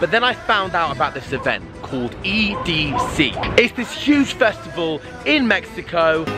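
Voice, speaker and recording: The man's voice has a dry sound with no echo, set against noticeable background noise. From London, England. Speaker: street magician. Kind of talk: casual vlog talk to camera. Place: street. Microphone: phone near.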